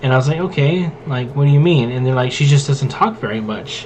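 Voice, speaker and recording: Over noticeable background noise and audible room echo, a man talks. His pitch is medium, with ordinary pitch variation. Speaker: gaming and tabletop content creator. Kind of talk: casual rant while playing a game. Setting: gameplay recording. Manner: loud; casual, filler-heavy.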